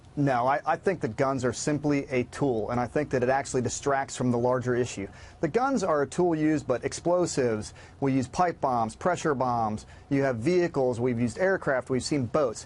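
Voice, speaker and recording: Here a man speaks in an ordinary speaking voice, medium in pitch with ordinary pitch variation, at a moderate pace and very even loudness. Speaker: former Navy SEAL, security company co-founder. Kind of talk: TV news interview answer.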